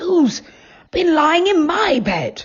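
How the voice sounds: A woman puts on a character voice that is squeaky and growling. Her pitch is extremely high.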